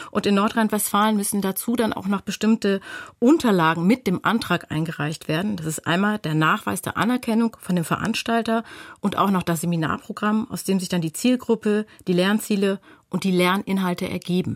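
A woman with an unremarkable speaking voice talks at a moderate pace, at medium pitch with ordinary pitch variation, in a dry, close sound with no echo. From North Rhine-Westphalia. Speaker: lawyer. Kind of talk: expert explanation on radio.

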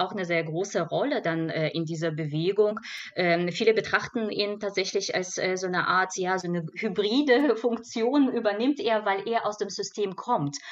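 Here a woman speaks at a medium pitch. Her pace is moderate and her pitch varies in an ordinary way. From Belarus. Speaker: cultural scientist. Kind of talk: radio panel discussion. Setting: radio studio. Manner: halting.

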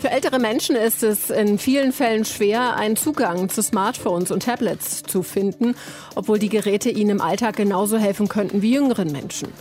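A woman speaks at a moderate pace in a fairly high pitch with ordinary pitch variation. Music plays in the background. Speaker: news presenter. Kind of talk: news reading. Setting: studio. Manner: formal; measured, even-paced.

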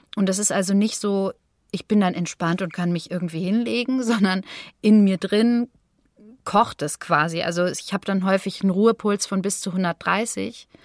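In a normal speaking voice, a woman talks at a medium pitch and moderate pace with fairly even intonation, the sound dry and close with no echo on a very clean recording with a silent background. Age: 30s. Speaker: long covid patient, singer and voice artist. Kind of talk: interview testimony.

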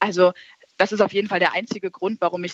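With monotone, flat intonation, a woman keeps up a fairly quick pace. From Berlin. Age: young. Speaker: poetry slam artist. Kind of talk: casual chat. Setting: studio.

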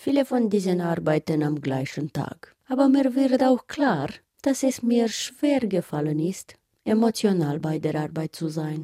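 In a dry, close recording with no echo, a woman with a Romanian accent speaks fairly slowly in a fairly low, dark and mellow voice that swings very widely in pitch. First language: Romanian (speaking German). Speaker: artist and feature author. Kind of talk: scripted narration with interview voice-over.

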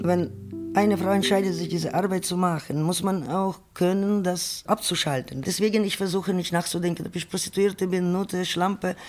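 A woman with a medium pitch speaks at a moderate pace. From Ukraine. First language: Ukrainian or Russian (speaking German). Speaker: sex worker. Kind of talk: personal testimony in radio feature.

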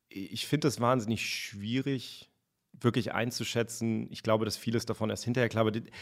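The recording is very clean, with a silent background. A man talks at a moderate pace and medium pitch in a monotone, flat delivery. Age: 30s. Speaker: science journalist. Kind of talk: interview.

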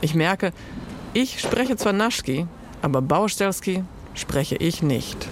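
A woman's very slow, medium-pitched speech in a Croatian accent, with lively intonation, very even loudness, long, frequent pauses and noticeable background noise. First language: Croatian (speaking German). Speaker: freelance journalist. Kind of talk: interview; narrated radio feature.

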